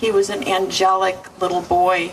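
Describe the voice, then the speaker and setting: Against noticeable background noise and audible room echo, a woman with an American accent speaks at a fairly slow pace. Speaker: mother of the deceased. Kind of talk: memorial eulogy. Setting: memorial service. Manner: halting.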